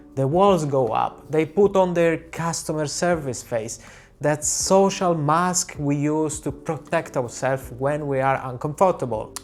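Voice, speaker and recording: Recorded very cleanly against a silent background, a man with an Italian accent speaks at a fairly slow pace, his pitch fairly high with ordinary variation. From Italy. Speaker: portrait photographer. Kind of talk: tutorial.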